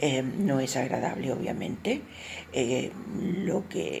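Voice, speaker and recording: Amid noticeable background noise and audible room echo, a woman speaks at a very slow pace with lively intonation. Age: 70s. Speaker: older adult giving testimony. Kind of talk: testimony.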